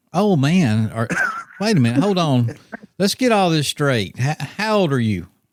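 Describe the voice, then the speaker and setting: Speaking with an Alabama accent at a moderate pace, a man keeps his loudness very even while his fairly high pitch swings very widely. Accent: Southern US (Alabama). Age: 60s. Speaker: podcast host. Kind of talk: casual chat. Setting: studio.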